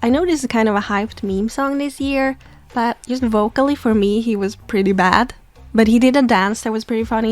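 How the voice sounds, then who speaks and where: A woman with a non-native accent speaks at a fairly quick pace in a fairly high pitch, with ordinary pitch variation and music in the background. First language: not English. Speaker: YouTuber, Pokémon fan commentator. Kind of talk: casual video commentary. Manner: animated.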